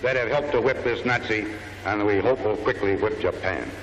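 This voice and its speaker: There is noticeable background noise. A man talks with an American accent. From United States, Kansas. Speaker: army general. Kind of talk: public speech to crowd.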